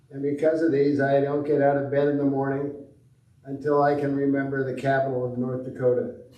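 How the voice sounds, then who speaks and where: A man with a fairly high pitch speaks at a fairly quick pace in a monotone, flat intonation, with audible room echo. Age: 80s+. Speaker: congregation member. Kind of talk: personal reflection.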